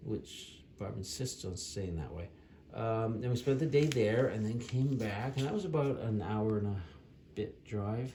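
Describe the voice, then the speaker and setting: Over noticeable background noise, a man speaks at a medium pitch and a fairly slow pace with ordinary pitch variation. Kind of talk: casual travel recap narration. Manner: unscripted, hesitant.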